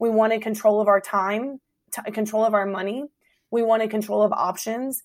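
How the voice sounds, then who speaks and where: A woman talks at a fairly quick pace in a fairly high voice. Her intonation stays monotone and flat. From Hampton Roads, Virginia. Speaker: restaurant owner, speaker. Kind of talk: casual interview chat. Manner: fast talker.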